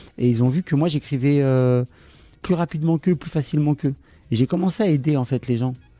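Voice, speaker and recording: With music in the background, a man with a fairly high voice speaks fairly quickly with ordinary pitch variation, in a dry, close sound with no echo. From France, Tunisian parents from Le Kef. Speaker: songwriter. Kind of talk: interview. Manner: hesitant with many fillers.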